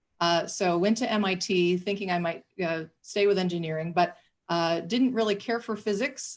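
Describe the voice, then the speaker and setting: Against a quiet background, a woman with a Michigan accent speaks at a moderate pace in a fairly low pitch. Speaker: city government official. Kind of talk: panel discussion.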